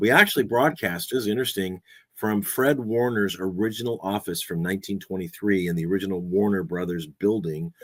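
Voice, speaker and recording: In a very clean recording with a silent background, a man with an American accent and an unremarkable speaking voice talks at a fairly quick pace with fairly low pitch and ordinary pitch variation. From Southern California. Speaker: podcaster and radio host, voice over actor. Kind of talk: casual talk to camera, podcast chat about personal history. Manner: conversational, relaxed, humorous.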